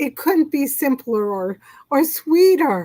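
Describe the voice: A woman uses a put-on character voice with a high pitch, big pitch swings and a dark, mellow tone. She speaks at a slow pace.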